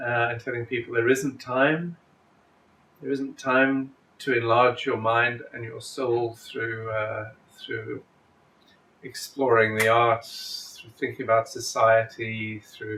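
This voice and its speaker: A medium-pitched man against noticeable background noise. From South Africa. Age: 50s. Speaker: university president. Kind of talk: interview.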